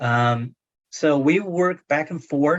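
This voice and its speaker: A man talks with a Chinese accent. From China. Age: 60s. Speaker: literary translator and professor. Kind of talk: book club discussion. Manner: halting, many fillers.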